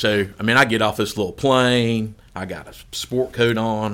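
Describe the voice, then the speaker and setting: A man's fairly low, monotone voice with flat intonation. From Kentucky. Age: 50s. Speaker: golf course superintendent and golf association president. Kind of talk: casual interview, storytelling.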